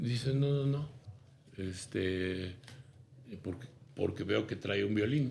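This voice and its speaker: Audible room echo surrounds a man speaking very slowly and somewhat breathily at a fairly low pitch, with ordinary pitch variation and long, frequent pauses. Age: 70s. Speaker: businessman and consultant. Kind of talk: interview.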